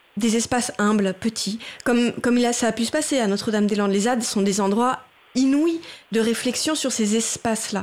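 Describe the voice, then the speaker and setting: Speaking in a plain, everyday voice, a woman talks fairly quickly at a fairly high pitch, with ordinary pitch variation and very even loudness. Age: 40s. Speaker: writer and theatre director. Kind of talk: radio interview discussion. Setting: radio studio.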